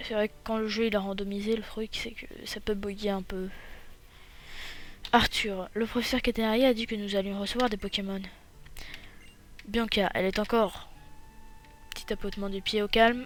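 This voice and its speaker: A man speaks at a high pitch and a moderate pace. His intonation is monotone and flat, with long, frequent pauses. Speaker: gaming youtuber. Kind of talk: let's play commentary reading game text aloud. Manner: hesitant, many fillers.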